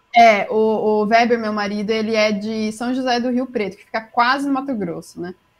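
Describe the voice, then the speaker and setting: A woman talks at a moderate pace with hardly any pauses and a fairly high pitch. Her intonation is fairly even, though her loudness swings widely. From interior of São Paulo state (Jundiaí). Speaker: booktuber. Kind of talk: casual chat. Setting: live-streamed podcast, remote call.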